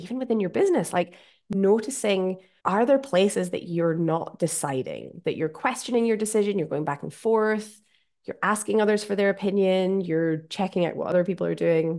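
With a Scottish accent, a woman talks with ordinary pitch variation. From Scotland. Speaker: podcast host. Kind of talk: solo podcast monologue.

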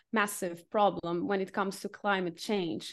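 A woman with a Portuguese accent talks at a moderate pace against a quiet background. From Portugal, Lisbon. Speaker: marketing freelancer. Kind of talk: interview. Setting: remote call from home.

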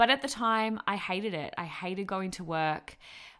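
Lively intonation in an Australian accent, with a bright, sharp tone, a moderate pace and a very clean recording over a silent background. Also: woman. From Australia, Melbourne. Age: 20s. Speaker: podcast host, personal trainer and nutritionist. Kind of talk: casual monologue. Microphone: professional mic.

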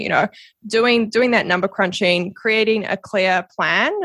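In a very clean recording with a silent background, a woman with a New Zealand accent speaks at medium pitch in a bright, sharp tone with ordinary pitch variation. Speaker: podcast guest, social media strategist and coach. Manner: casual, conversational, laughs often.

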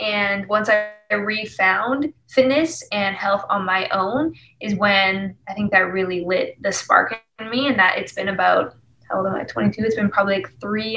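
This woman has a normal speaking voice with a Canadian accent, a medium pitch and a moderate pace. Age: 20s. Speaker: singer-songwriter. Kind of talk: casual interview chat.

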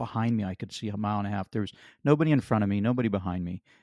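The speaker has an American accent and ordinary pitch variation. The sound is dry and close, with no echo. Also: man, quiet background. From western Pennsylvania. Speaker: author and accident survivor. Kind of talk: interview testimony.

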